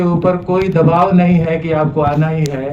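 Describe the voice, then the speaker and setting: A man with a Bihari accent speaks at a high pitch. Audible room echo and noticeable background noise surround him. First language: Bhojpuri (speaking Hindi). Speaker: speaker on Hindi language. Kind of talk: speech to audience. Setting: hall with small audience. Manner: some hesitations.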